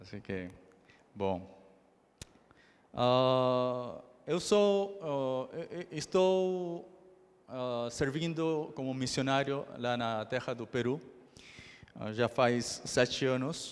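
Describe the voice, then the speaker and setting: At a very slow pace, a man speaks with medium pitch and lively intonation. Long, frequent pauses break up his speech. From Brazil then Argentina from age ten. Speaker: missionary preacher. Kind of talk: sermon. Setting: church service. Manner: halting, many fillers.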